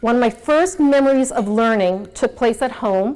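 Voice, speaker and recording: A woman with a slight New York accent speaks at a moderate pace in a fairly high voice with lively intonation. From New York City (Queens). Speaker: nonprofit executive, speaker. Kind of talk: motivational talk.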